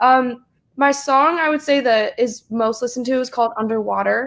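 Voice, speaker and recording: On a very clean recording with a silent background, a woman with a slight Southern US accent speaks in a high pitch at a moderate pace. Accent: slight Southern twang. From US South, South Carolina. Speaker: singer-songwriter and college student. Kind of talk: casual chat. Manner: hesitant with frequent fillers.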